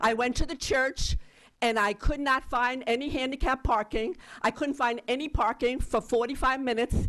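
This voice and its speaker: Her pitch is high for a woman, with ordinary pitch variation and a moderate pace. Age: 70s. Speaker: voter giving public testimony. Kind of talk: public hearing testimony. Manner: agitated.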